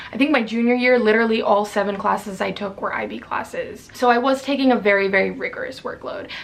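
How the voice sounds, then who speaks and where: A woman at a very fast pace with hardly any pauses, against noticeable background noise. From Maryland, US. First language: Spanish. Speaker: student vlogger. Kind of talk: casual vlog talk.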